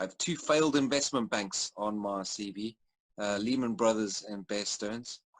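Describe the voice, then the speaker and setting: In a South African accent, a man speaks at a moderate pace with ordinary pitch variation against a quiet background. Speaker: storyteller and entrepreneur. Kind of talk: interview. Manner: halting.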